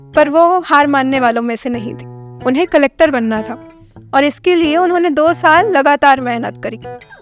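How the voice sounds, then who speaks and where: Ordinary pitch variation with music in the background. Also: woman, high pitch for a woman, moderate pace. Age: young. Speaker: spoken word poet. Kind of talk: spoken word storytelling. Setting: studio. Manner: heartfelt, emotional.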